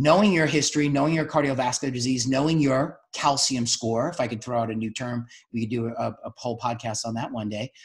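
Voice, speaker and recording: A man speaks at a fairly quick pace with an American accent. His voice is somewhat breathy. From New York City. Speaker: doctor and podcast host. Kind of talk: podcast interview discussion.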